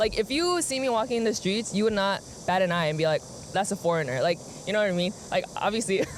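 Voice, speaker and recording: Someone talks at a very fast pace with an American accent. Noticeable background noise is present. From United States. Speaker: interviewee. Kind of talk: street interview.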